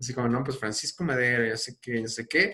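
A somewhat breathy man at a medium pitch, talking at a fairly quick pace. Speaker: podcast host. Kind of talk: casual chat.

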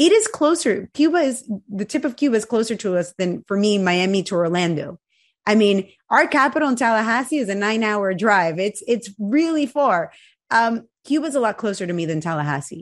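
The pitch swings very widely and the pace is fairly quick. The background is quiet. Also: woman, fairly high pitch for a woman. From Venezuela. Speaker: Cuban-American activist. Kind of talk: interview.

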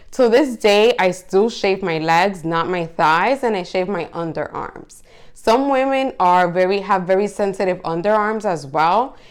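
A woman's ordinary speaking voice at medium pitch with ordinary pitch variation, a fairly slow pace and hardly any pauses. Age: 30s. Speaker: podcast host. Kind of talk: solo monologue podcast. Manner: casual, conversational.

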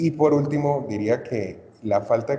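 A man with a Cali accent. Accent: Colombian Spanish (Cali, Valle). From Colombia, Cali. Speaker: podcast guest, basketball fan. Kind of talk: casual chat.

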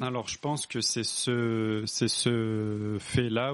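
There is noticeable background noise behind this man. His medium-pitched voice keeps a fairly even intonation. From France, rural area. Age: 20s. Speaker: civil servant. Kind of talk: casual interview.

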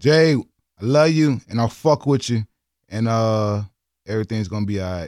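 A man with an American accent at a moderate pace, ordinary pitch variation, and long, frequent pauses, on a very clean recording with a silent background and a dry, close sound with no echo. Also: medium pitch for a man. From Louisiana. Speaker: podcast host. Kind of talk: casual chat.

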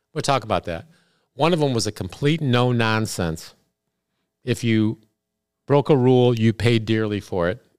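On a very clean recording with a silent background, a man with an American accent speaks at a moderate pace and medium pitch, using ordinary pitch variation and long, frequent pauses. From rural Illinois. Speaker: podcast host, sales business leader. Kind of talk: casual chat.

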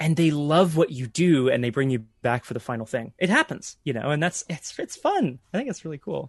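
Fairly high-pitched male speech at a fairly quick pace with lively intonation, hardly any pauses, and a dry, close sound with no echo. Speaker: voice actor. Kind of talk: casual chat.

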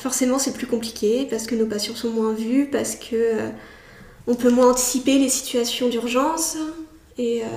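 A woman speaks at a high pitch with monotone, flat intonation. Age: 20s. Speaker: psychiatric nurse. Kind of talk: interview.

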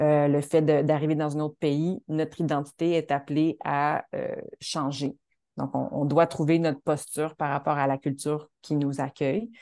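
In a Quebec accent, a woman speaks fairly slowly with a very deep, low pitch, a dark, mellow tone and monotone, flat intonation over a quiet background. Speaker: choreographer and dancer. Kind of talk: interview. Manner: halting, many repetitions.

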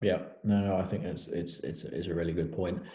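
A man with a southern English accent, a very deep, low pitch and a dark, mellow, somewhat breathy tone, at a fairly quick pace in audible room echo. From southern England. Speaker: startup founder and interviewer. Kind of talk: casual interview.

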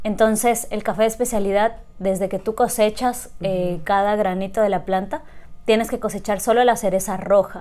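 A woman speaks at medium pitch with a dark, mellow tone. Her intonation stays fairly even, and her pace is moderate. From Ecuador, Loja. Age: 30s. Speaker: coffee entrepreneur. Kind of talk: interview.

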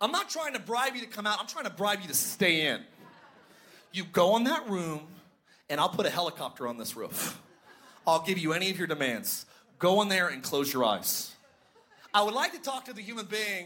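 A man with a high-pitched, raised and projected voice speaks at a moderate pace with lively intonation and long, frequent pauses. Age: 30s. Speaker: pastor. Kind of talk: sermon with stand-up style jokes about parenting. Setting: church with live audience.

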